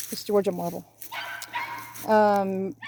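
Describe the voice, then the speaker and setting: A woman's voice sits at medium pitch in a flat monotone. Noticeable background noise runs underneath. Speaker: cemetery restoration business owner. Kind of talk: casual video walkthrough tour. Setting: outdoors in a cemetery. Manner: fast.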